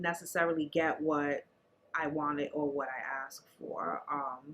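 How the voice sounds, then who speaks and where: A woman with a New York accent talks at a moderate pace. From New York City, the Bronx. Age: 40s. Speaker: interviewee sharing life story. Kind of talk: interview.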